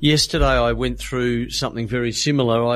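A man has an Australian accent. His voice sits at a medium pitch. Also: very clean recording, silent background. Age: 60s. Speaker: podcast host. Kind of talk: interview.

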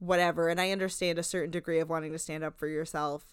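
In a New Jersey accent, a woman talks at a fairly quick pace with fairly low pitch and monotone, flat intonation. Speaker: podcast co-host.

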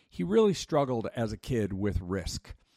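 At a moderate pace, a man talks in a plain, everyday voice with a fairly low pitch. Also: dry, close sound with no echo. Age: 50s. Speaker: youth ministry worker. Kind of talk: scripted narration.

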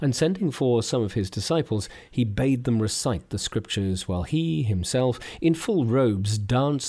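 A plain reading aloud, delivered with lively intonation.

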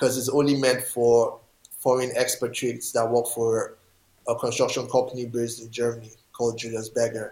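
A man speaks fairly quickly at a medium pitch, somewhat breathy. His intonation stays monotone and flat. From Nigeria, Lagos. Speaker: rollerblader. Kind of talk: interview. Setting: video call.

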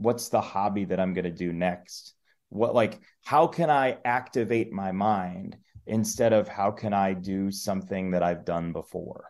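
This is an ordinary speaking voice. It has ordinary pitch variation and moves at a fairly slow pace. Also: man, fairly low pitch for a man, quiet background. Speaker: sports play-by-play announcer. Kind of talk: interview conversation.

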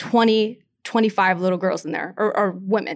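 On a very clean recording with a silent background, a woman with an American accent talks fairly quickly at medium pitch. She has a plain, everyday voice with ordinary pitch variation. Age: 20s. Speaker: professional boxer. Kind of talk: interview.

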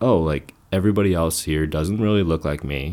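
A man's dark, mellow voice with an American accent at a fairly quick pace. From New Jersey, US. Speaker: photojournalist. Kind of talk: casual chat.

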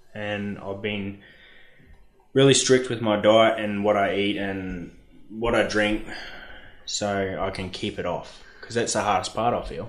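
A man with an Australian accent, fairly low in pitch, at a fairly slow pace with long, frequent pauses, monotone and flat, amid audible room echo. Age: 20s. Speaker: mine dozer operator. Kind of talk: casual chat.

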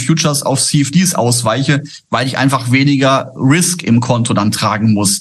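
A somewhat breathy man at a fairly high pitch, fairly slow in pace, with ordinary pitch variation. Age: 50s. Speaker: trader, former broker. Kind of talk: interview.

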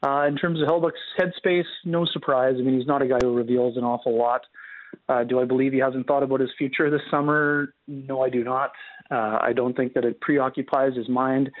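A man with an ordinary speaking voice talks at a fairly quick pace and medium pitch, with fairly even intonation and very even loudness. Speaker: hockey writer. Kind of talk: radio interview. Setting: phone or remote line.

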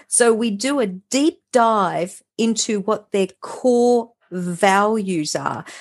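A woman with an Australian accent and fairly high pitch, very slow yet with hardly any pauses, and ordinary pitch variation. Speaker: mindset and transformation coach. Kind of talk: interview.

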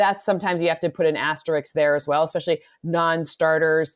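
A woman's fairly low-pitched, unremarkable speaking voice with an American accent, ordinary pitch variation and a fairly quick pace. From US Midwest, Michigan. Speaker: football analyst, podcast co-host. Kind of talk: casual sports analysis chat.

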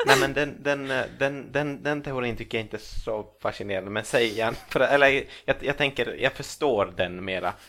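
The speaker is a man with a medium pitch. He keeps a moderate pace and ordinary pitch variation. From Finland, Ostrobothnia (Swedish-speaking). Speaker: comedian and author. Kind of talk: casual chat. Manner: halting, many repeated words.

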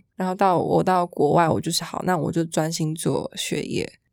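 A woman talks at a fairly quick pace with a fairly low pitch and vocal fry. Her intonation is fairly even, and the recording is very clean with a silent background. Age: 20s. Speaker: fashion model. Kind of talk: casual chat.

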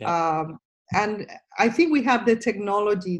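A woman speaks in a Spanish accent. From Venezuela. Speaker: microbiome scientist, professor. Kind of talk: interview. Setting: video call. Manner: halting.

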